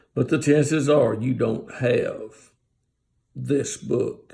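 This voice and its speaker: The man's speech moves at a very slow pace. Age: 70s. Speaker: Bible teacher. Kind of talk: casual Bible talk. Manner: halting.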